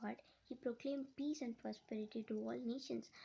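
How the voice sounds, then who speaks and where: This woman has a high voice with a dark, mellow tone. She speaks in a Telugu accent. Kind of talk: personal testimony. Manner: halting, many repetitions and restarts.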